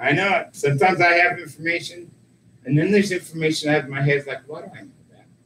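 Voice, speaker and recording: Amid noticeable background noise, a man with a high pitch rattles along at a very fast pace, showing ordinary pitch variation and big swings in loudness. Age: 50s. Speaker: local talk show host. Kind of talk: casual chat.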